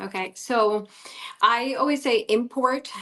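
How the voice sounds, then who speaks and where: A woman with a Spanish accent and fairly even intonation. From Colombia. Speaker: guest speaker. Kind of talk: interview chat.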